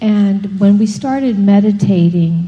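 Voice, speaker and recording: Somewhat breathy and in a dark, mellow tone, a woman speaks very slowly with monotone, flat intonation. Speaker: meditation participant. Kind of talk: personal sharing.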